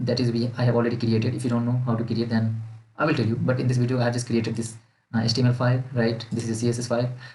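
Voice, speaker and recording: A man at a very fast pace, somewhat breathy, with audible room echo. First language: not English. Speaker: student making coding tutorials. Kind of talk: tutorial. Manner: halting.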